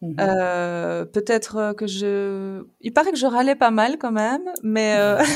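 A woman speaks at a very slow pace with lively intonation and a fairly high pitch. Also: very clean recording, silent background. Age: 30s. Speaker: mother of three, podcast guest. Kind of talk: casual chat.

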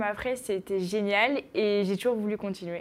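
A woman at fairly high pitch, a plain, everyday voice, fairly slow pace and fairly even intonation. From northern France, Picardy (Noyon). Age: 20s. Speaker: sport shooter, athlete. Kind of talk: interview.

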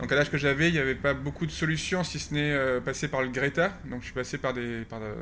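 A bright, sharp tone marks this man's medium-pitched voice as he talks at a very fast pace. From France, Landes (born in Canada, moved at 6). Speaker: cabinetmaker. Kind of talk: interview. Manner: halting, many fillers and repetitions.

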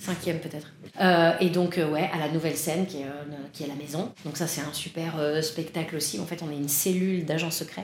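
A woman's fairly low voice at a fairly quick pace, fairly even in intonation, with audible room echo and noticeable background noise. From Paris, France. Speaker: improv and stage actress. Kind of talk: casual interview chat. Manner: hesitant, frequent laughter.

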